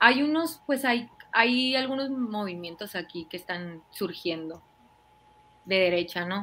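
A woman speaks at a medium pitch in a bright, sharp tone. Her intonation is lively and her pace very slow. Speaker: YouTube political commentator. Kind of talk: casual livestream discussion.

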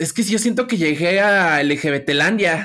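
A woman speaks at a very slow pace in a medium-pitched voice with ordinary pitch variation. The recording is very clean, with a silent background. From Mexico City (rural Xochimilco). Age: 20s. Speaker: craft brewer and entrepreneur. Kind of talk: interview.

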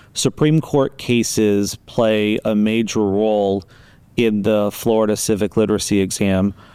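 On a very clean recording with a silent background, a man speaks at a fairly low pitch and fairly slow pace, his tone dark and mellow, with fairly even intonation and very even loudness. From Las Vegas, Nevada. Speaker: college podcast host. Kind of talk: educational interview. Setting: studio.

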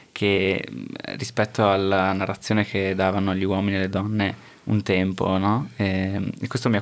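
The man's voice is flat and monotone. It sits fairly low. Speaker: community radio host. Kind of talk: interview. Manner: halting.

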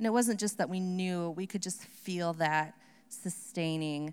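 A woman with an American accent talks in a plain, everyday voice. Her pitch is fairly low, and her pace is fairly slow. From Upper Peninsula, Michigan. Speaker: missionary.

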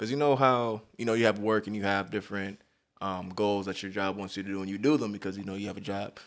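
A man's fairly low voice with an American accent, very fast pace and fairly even intonation. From Southern California. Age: 20s. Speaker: middle school staff member. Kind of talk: casual chat.

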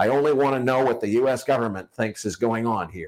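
Using an ordinary speaking voice, a man with an American accent talks at a fairly quick pace, medium pitch and ordinary pitch variation. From United States. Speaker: financial podcast host. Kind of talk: casual interview. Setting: video call.

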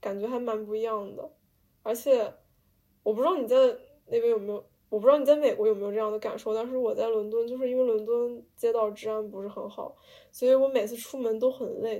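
Speaking very fast, a woman uses a fairly high pitch with a dark, mellow tone and fairly even intonation. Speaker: podcast host, art student abroad. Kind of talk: casual chat.

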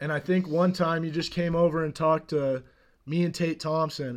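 A man's fairly high, unremarkable speaking voice at a moderate pace, in a very clean recording with a silent background. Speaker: guest, friend of host. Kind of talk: casual chat.

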